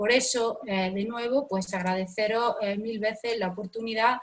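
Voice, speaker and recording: At a moderate pace, a woman talks with fairly even intonation and a fairly high pitch. She has a normal speaking voice. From Andalusia, Spain. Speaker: professor. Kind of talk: lecture.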